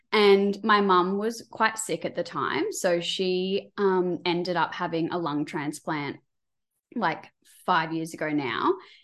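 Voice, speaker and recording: This woman has an Australian accent and a medium pitch with ordinary variation. She speaks at a very slow pace. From Queensland, Australia. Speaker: cardiac nurse. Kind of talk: casual chat.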